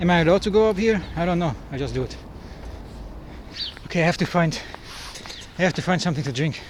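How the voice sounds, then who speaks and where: Noticeable background noise sits under this recording. A man with a high pitch talks at a very fast pace with lively intonation. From Germany. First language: German. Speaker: travel vlogger. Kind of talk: travel vlog.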